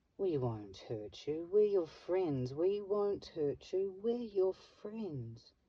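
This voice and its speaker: In a put-on character voice with a soothing tone and middle pitch, the speaker goes at a very slow pace with hardly any pauses. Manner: falsely soothing.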